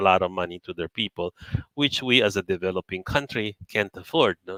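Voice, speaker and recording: A speaker with a Filipino accent talks at a fairly quick pace with ordinary pitch variation. The sound is dry and close, with no echo. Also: man. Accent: Filipino English with Tagalog code-switching. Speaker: company chairman mentoring traders. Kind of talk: live webinar talk.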